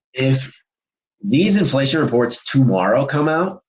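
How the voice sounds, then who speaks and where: A man's somewhat breathy voice at a medium pitch, with very wide pitch swings and a moderate pace. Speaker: trading streamer. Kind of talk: live trading commentary. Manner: casual, jumps between topics.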